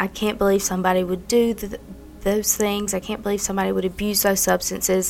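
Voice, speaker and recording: A medium-pitched woman with a Mississippi accent, at a fairly quick pace. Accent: Southern US (Mississippi). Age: 20s. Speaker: recovering addict sharing her story. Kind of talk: testimony.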